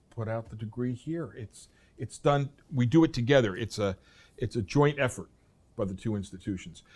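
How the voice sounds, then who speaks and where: A man's plain, everyday voice, medium-pitched, at a moderate pace. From US East Coast. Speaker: professor. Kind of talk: interview.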